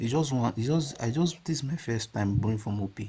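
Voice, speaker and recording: A man's dark, mellow, somewhat breathy voice sits at medium pitch, with lively intonation at a moderate pace. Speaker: caller asking for debt advice. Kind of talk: call-in question. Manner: hesitant.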